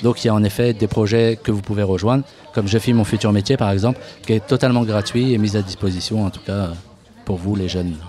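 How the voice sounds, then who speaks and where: The tone is dark and mellow, the speech very fast, and the intonation fairly even. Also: man, fairly low pitch for a man. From Paris suburbs (Seine-Saint-Denis). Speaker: youth media association worker. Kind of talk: radio interview. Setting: outdoor live radio broadcast at a bar, in the rain. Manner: casual, hesitant with many fillers.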